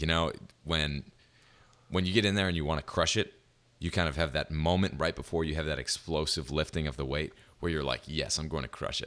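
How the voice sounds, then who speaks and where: A man's very deep, low pitch with vocal fry, fairly even intonation, and a fairly quick pace, on a very clean recording with a silent background. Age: 20s. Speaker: podcast host. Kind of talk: casual interview chat.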